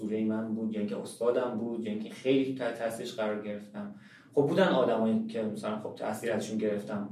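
Amid noticeable background noise and audible room echo, a man with a medium pitch talks very fast with ordinary pitch variation. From Iran, Shiraz. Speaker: painter. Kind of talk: interview.

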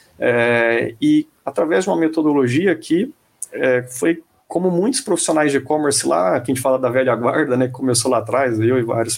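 A man talks at a moderate pace in a fairly high pitch with ordinary pitch variation. It is a plain, everyday voice. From Brazil, Mato Grosso. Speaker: e-commerce committee founder. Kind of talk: interview. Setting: live online stream.

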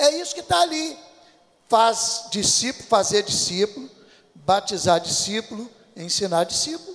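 Pausing long and often, a man with a high voice moves at a moderate pace through very wide pitch swings. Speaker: pastor. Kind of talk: sermon.

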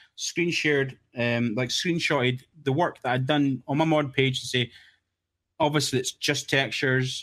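A man speaks in a strong Scottish accent at a medium pitch. His intonation stays fairly even, and the recording is very clean with a silent background. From Scotland. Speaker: game texture modder. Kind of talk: casual chat.

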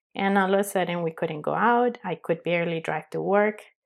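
A woman talks with a strong non-native accent and fairly even intonation. The recording is very clean, with a silent background. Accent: strong foreign. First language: not English. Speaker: podcast host and life coach. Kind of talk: solo podcast intro monologue. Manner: casual, chatty, with fillers.

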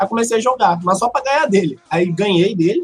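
This man talks very rapidly. Normal pitch movement runs through his words. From Rio de Janeiro, Brazil. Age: 30s. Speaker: Hearthstone streamer. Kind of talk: casual chat.

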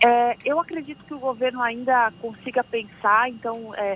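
A woman talks at a fairly slow pace. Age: 30s. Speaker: labor law consultant. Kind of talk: radio interview. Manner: hesitant, frequent fillers.

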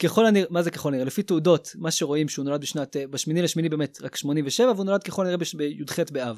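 A man speaks at a very fast pace in a fairly high pitch, with hardly any pauses, on a very clean recording with a silent background. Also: ordinary pitch variation. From Israel, Petah Tikva. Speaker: engineer and yeshiva student. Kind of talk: podcast discussion.

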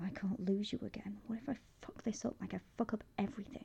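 A woman growls in a put-on character voice at a fairly high pitch. She speaks at a very fast pace. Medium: read story. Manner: sardonic, clipped, swearing.

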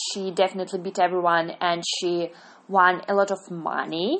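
Speaking very slowly with a Russian accent, a woman holds a medium pitch. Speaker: podcaster reviewing TV series. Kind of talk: monologue review. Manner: halting, many fillers and self-corrections.

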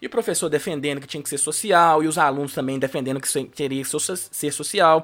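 A man with a normal speaking voice talks at a fairly quick pace, with ordinary pitch variation and big swings in loudness, in a very clean recording with a silent background. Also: fairly high pitch for a man. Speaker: law academic. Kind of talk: interview on race and law.

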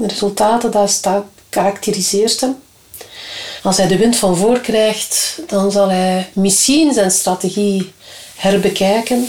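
Noticeable background noise surrounds speech delivered at a very slow pace. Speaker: trade union official. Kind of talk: interview. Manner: direct.

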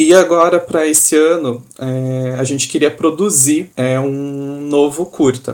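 This man has a plain, everyday voice with ordinary pitch variation. His pitch is fairly high. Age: 30s. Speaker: theatre company co-founder, architect. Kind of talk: casual chat.

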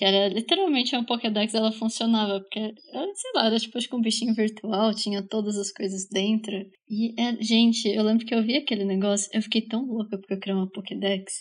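Somewhat breathy, a woman speaks at a fairly quick pace and a fairly high pitch. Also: fairly even intonation. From Brazil, Bauru (São Paulo state). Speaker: podcast co-host. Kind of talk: casual chat.

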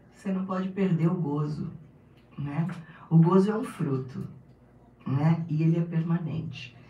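Audible room echo surrounds a woman with a fairly low pitch. She talks fairly slowly, with long, frequent pauses. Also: fairly even intonation. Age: 60s. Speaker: pastor. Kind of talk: casual interview.

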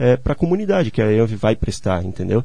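A man with a medium pitch and a dark, mellow, somewhat breathy tone, his intonation lively at a very fast pace. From southern Brazil, Santa Catarina (Gaspar). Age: 20s. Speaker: civil engineer. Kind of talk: radio interview. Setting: radio studio.

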